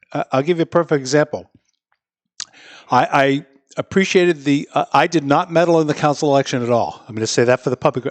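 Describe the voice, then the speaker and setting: Pitch rises and falls in an ordinary way, in an unremarkable speaking voice. No echo is heard, and the sound is dry and close. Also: man. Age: 60s. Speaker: mayor. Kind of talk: interview. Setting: studio with live audience.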